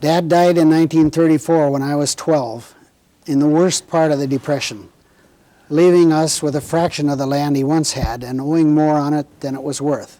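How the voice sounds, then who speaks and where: A man with an Upper Midwest accent talks at a moderate pace in a fairly high pitch, with a dark, mellow tone and fairly even intonation. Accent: Upper Midwest American. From Minnesota, Red River Valley. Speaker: war veteran. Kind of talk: oral history interview. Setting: recorded interview with cameras.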